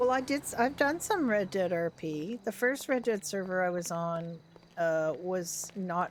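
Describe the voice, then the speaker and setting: In an ordinary speaking voice, the speaker goes at a fairly slow pace with lively intonation. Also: woman, medium pitch for a woman. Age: 60s. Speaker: livestreamer, roleplay gamer. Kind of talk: casual chat. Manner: relaxed, chatty.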